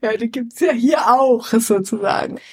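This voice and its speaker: Very slow speech from a woman, fairly high in pitch. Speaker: podcast co-host. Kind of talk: casual chat. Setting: empty flat. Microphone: suboptimal equipment, poorer sound.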